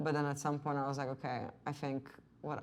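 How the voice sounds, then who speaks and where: A woman speaks at a moderate pace with a very deep, low pitch. Vocal fry runs through her voice. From Slovenia, Ljubljana. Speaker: filmmaker and painter. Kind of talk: interview. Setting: artist's studio. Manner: many fillers, um and like.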